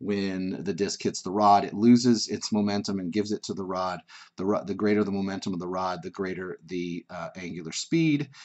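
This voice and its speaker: A man speaks fairly quickly with hardly any pauses, his fairly low pitch showing ordinary variation. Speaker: physics teacher. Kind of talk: tutorial. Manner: fast; halting, with fillers.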